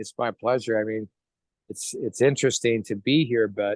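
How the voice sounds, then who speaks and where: A man's medium-pitched voice at a moderate pace, an ordinary speaking voice with fairly even intonation and a dry, close sound with no echo. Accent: American. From New York. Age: 60s. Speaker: network marketing distributor. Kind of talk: interview.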